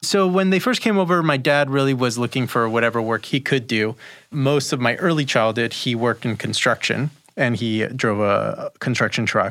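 A man with a normal speaking voice talks at a fairly quick pace with ordinary pitch variation, on a very clean recording with a silent background. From Peru, raised in an immigrant family in the US. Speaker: marketing agency founder. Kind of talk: interview.

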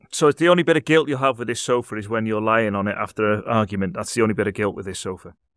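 In a Liverpool accent, a man talks very fast with hardly any pauses, at a fairly low pitch with ordinary pitch variation, on a very clean recording with a silent background. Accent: Liverpool (Scouse). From Liverpool, England. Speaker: radio host. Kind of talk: casual chat; scripted intro.

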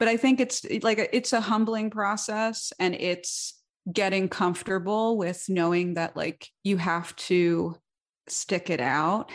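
In an American accent, a woman talks in a normal speaking voice at medium pitch. Her pace is fairly slow, her pitch variation ordinary, and the background quiet. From New York, the Bronx. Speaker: songwriter and musician. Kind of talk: interview conversation.

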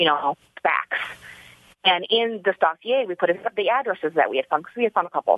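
Talking at a fairly quick pace, a woman with an unremarkable speaking voice keeps a medium pitch and lively intonation. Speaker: citizen detective. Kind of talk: interview. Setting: studio.

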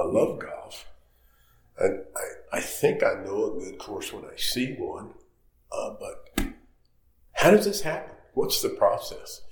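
A man with an American accent talks at a fairly slow pace, with long, frequent pauses and big swings in loudness. Audible room echo surrounds his voice. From North Carolina. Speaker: golf course architect. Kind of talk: interview. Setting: on location at a golf course.

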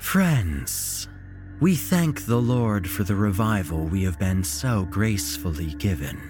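Over clear music in the background, a man hisses in a put-on character voice at a very deep, low pitch and a fairly slow pace. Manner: eloquent, sinister.

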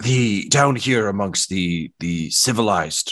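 A man's put-on character voice, fairly low-pitched and fairly slow, over a quiet background. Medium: actual play. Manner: condescending, grandly formal, sly.

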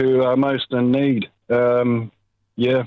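With a New Zealand accent, a man speaks at a medium pitch in a monotone, flat delivery. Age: 70s. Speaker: caller. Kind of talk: casual chat. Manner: halting.

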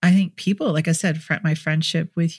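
The speaker has an American accent and sounds somewhat breathy. The sound is dry and close, with no echo. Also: woman. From US Midwest, Minnesota. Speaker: therapist. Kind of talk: interview.

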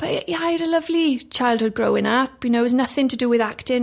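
A woman is speaking. She has a South Wales accent. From South Wales, Ammanford. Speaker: actress. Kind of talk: casual chat.

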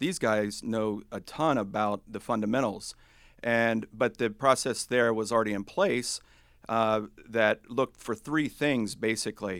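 A man in an American accent has a normal speaking voice at medium pitch, with ordinary pitch variation and a fairly slow pace, on a very clean recording with a silent background. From US South, Huntington, West Virginia. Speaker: portfolio manager. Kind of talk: interview on investing.

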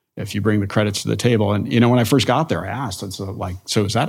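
A man speaks at a fairly low pitch with an American accent. Vocal fry runs through his voice. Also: very clean recording, silent background. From New Jersey (northwest). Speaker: university president, intelligence educator. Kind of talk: interview.

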